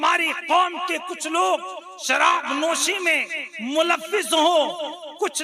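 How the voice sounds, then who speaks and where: A man shouts at an extremely high pitch for a man over noticeable background noise. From Pilibhit, India. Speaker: Islamic preacher (maulana). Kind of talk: religious sermon at a public gathering. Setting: outdoor or hall gathering, night-time religious event.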